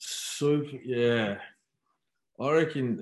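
Against a quiet background, a man with an Australian accent speaks with ordinary pitch variation. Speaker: former footballer. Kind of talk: casual chat.

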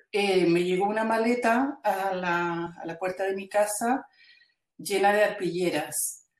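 This woman speaks at a very slow pace. Her voice sits at a medium pitch with ordinary variation. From Chile. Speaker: textile artist and educator. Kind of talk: interview. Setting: video call. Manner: halting, many repetitions.

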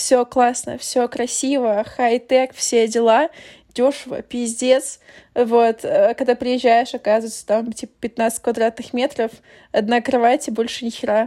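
Flat, monotone delivery at a fairly slow pace, on a very clean recording against a silent background. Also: woman, high pitch for a woman. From Ukraine. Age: 20s. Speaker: podcast host. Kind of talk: casual chat.

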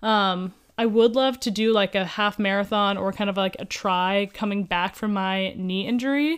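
A plain, everyday voice with an American accent speaks at a moderate pace with hardly any pauses. Its pitch variation is ordinary. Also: woman, medium pitch for a woman, very clean recording, silent background. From US Midwest (Columbus, Ohio). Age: 20s. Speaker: podcast co-host, personal trainer. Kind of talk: casual chat.

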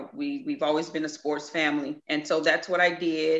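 Speaking with a Southern US accent, a woman has a very deep, low pitch. She keeps a moderate pace and fairly even intonation. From Mississippi. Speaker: hairstylist and business owner. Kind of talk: interview.

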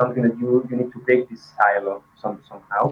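Flat, monotone intonation marks this man's medium-pitched voice with a non-native accent. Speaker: design manager. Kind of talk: interview. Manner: halting.

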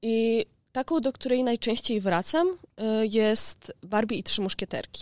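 A woman speaks in a normal speaking voice at a fairly slow pace, with ordinary pitch variation. The recording is very clean with a silent background, and the sound is dry and close with no echo. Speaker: university student. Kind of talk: class presentation.

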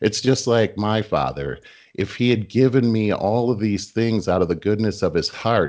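Speaking in an unremarkable speaking voice, a man uses a fairly low pitch with ordinary pitch variation. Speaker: podcast co-host, sales leader. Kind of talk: casual chat.

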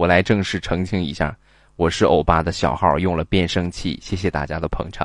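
A man's very deep, low voice at a fairly quick pace against a quiet background. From Rizhao, Shandong, China. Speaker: livestream host. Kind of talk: casual livestream chat with call-ins. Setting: live stream on phone. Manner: animated.

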